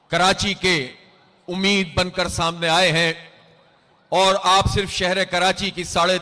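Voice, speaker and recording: A man's voice, high in pitch. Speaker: political party leader. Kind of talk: political rally speech. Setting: outdoors, public address system at a rally.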